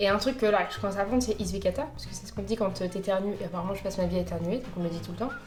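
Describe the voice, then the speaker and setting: Mumbling at a very fast pace, a woman speaks with music in the background. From France. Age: 20s. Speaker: corporate lawyer. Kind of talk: casual talk to camera. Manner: mumbled, casual slang.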